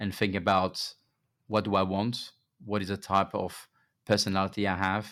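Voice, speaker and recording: In a very clean recording with a silent background, a man speaks at a fairly low pitch. His intonation is monotone and flat, with long, frequent pauses. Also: moderate pace. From France. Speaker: pharma executive. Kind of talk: interview. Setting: studio. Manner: hesitant with fillers.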